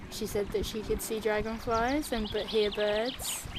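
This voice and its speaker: A woman's fairly slow speech comes through noticeable background noise. Her intonation stays fairly even. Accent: British. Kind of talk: personal story told to interviewer. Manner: casual, hesitant, many fillers.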